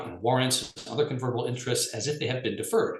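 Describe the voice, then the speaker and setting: A man speaks very fast at a medium pitch, his voice somewhat breathy. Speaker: lawyer presenting on regulation. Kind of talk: webinar presentation.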